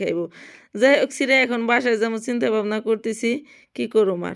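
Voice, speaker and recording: A woman's fairly high-pitched, an ordinary speaking voice, on a very clean recording with a silent background. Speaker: domestic worker vlogger. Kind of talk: casual vlog narration.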